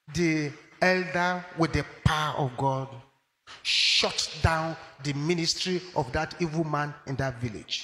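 Light background noise sits behind a man speaking with fairly even intonation. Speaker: preacher. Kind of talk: sermon. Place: office.

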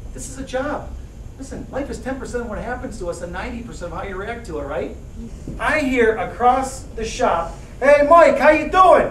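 A man talks at a fairly quick pace in an upbeat, enthusiastic tone with lively intonation and big swings in loudness, over light background noise and audible room echo. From Detroit, Michigan, USA. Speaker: motivational keynote speaker. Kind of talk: motivational keynote speech. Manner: upbeat, enthusiastic, encouraging. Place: classroom. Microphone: camera far.

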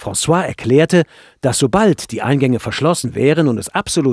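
In a calm tone, a man speaks against a quiet background. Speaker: audiobook narrator. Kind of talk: audiobook reading, scripted first-person narration. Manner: measured, calm storytelling pace.

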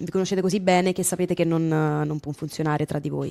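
The delivery is very fast and monotone, with flat intonation. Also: woman. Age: 20s. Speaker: streamer. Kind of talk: casual chat. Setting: video call. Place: home room. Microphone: studio mic.

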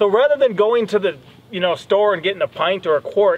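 A man's fairly quick speech comes through with light background noise. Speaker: homestead vlogger. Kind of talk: casual vlog chat. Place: open country.

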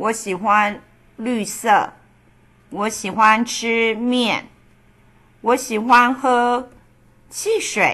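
A woman speaks at a very slow pace with long, frequent pauses. Her fairly high voice has a bright, sharp tone and a monotone, flat intonation. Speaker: Mandarin teacher. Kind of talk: language lesson role-play.

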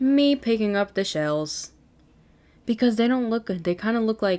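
A woman's fairly high voice, dark and mellow in tone, with lively intonation and very even loudness. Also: moderate pace. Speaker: gaming youtuber. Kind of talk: casual game commentary. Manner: animated.

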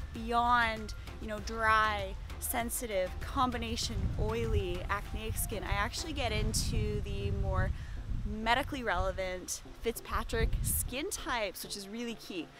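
A woman at a fairly slow pace, with clear music in the background and a dry sound free of echo. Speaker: aesthetic nurse vlogger. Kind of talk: casual vlog chat. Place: garden. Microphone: phone near.

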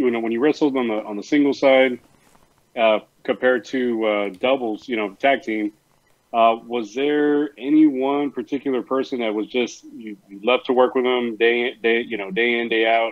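A man with a South Texas accent talks at a moderate pace with fairly even intonation. The background is quiet. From US South. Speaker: guest co-host, wrestling fan. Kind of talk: casual interview. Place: home room. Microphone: earbuds.

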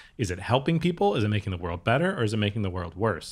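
Speaking very fast with an American accent, a man uses a fairly low pitch. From US Upper Midwest, Minnesota/Wisconsin area; US Upper Midwest. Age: 30s. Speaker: podcast host. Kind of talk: casual interview chat. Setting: recorded in person in Hollywood. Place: home room. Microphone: studio mic.

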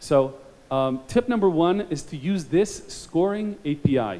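A man's fairly high, dark and mellow voice at a fairly slow pace, with lively intonation.

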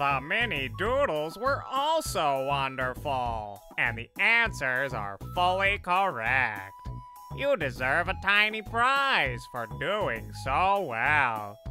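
A man speaks very slowly in a fairly high voice. Clear music plays in the background. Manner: warm, encouraging.

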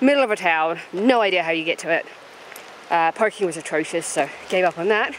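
Over light background noise, a woman speaks with very wide pitch swings in a dry sound with no echo. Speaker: travel vlogger. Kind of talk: casual vlog chat. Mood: mildly exasperated recap. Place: open country. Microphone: phone near.

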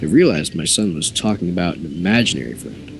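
A man with a very deep, low voice talks while music plays behind him. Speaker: creepypasta reader. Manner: casual storytelling narration.

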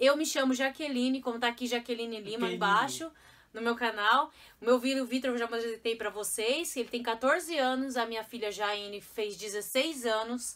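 A woman with a high voice talks at a fairly quick pace. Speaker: mother vlogger. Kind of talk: casual vlog chat. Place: home room. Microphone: phone near.

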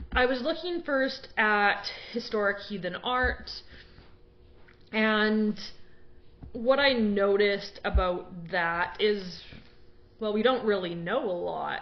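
A woman speaks at a very slow pace. Long, frequent pauses break up her words. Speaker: blogger. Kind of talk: casual talk on a topic. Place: home room. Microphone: webcam.

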